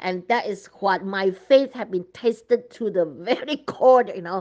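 A woman with a Chinese accent, medium pitch and ordinary pitch variation, at a moderate pace against a quiet background. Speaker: religious vlogger. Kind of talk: sermon-style vision sharing. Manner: hesitant with fillers.

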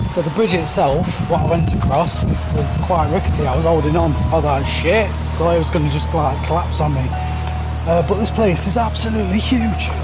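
Clear music plays behind the voice. Over it, a man speaks fairly quickly. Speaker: urbex vlogger. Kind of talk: casual vlog chat. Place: forest. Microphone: phone near.

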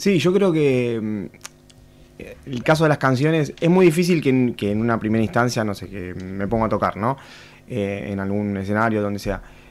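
A man speaks with lively intonation. His pace is moderate. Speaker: musician; guest. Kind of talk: radio interview. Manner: calm. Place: studio. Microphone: studio mic.

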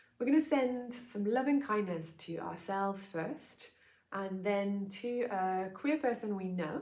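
Soft-spoken and soothing, the voice has a warm tone and lively intonation. The pace is fairly slow. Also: woman. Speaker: yoga teacher. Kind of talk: gentle guided loving-kindness meditation with breath cues. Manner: slow, soothing, soft cadence with pauses between phrases; warm, informal, slightly hesitant with filler sounds. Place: home room. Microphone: lapel.

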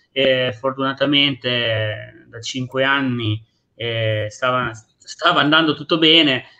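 A man's bright, sharp tone at a very slow pace. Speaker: restaurant owner; guest. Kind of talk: talk show discussion. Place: home room. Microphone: unstable connection; video call.

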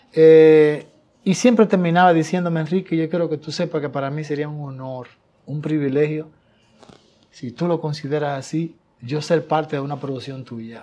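A man talks at a moderate pace in a fairly high pitch with ordinary variation. His dark, mellow tone comes with big swings in loudness. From Dominican Republic, Tamayo, Bahoruco; Dominican Republic. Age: 60s. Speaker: songwriter and singer; guest. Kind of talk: interview. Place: studio. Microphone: lapel.

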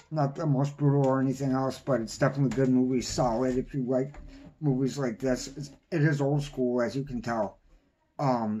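A man's voice with fairly even intonation over light background noise. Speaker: movie reviewer. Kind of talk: casual vlog chat. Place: home room. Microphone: phone near.

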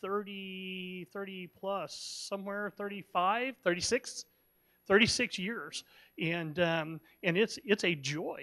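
A raised, projected voice with a bright, sharp tone against a quiet background. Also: man. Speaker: church pastor or host introducing guests. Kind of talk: church announcement and introduction. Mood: warm, affectionate. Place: church. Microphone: handheld.

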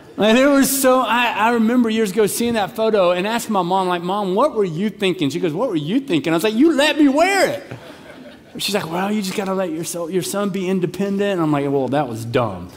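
A man talks at a fairly quick pace with very wide pitch swings. Light background noise sits behind him. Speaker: pastor. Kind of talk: sermon. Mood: humorous, warm. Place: church. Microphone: headset.

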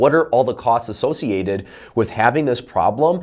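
The voice moves at a moderate pace with very wide pitch swings against a quiet background. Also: man. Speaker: sales coach. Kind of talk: tutorial. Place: studio.

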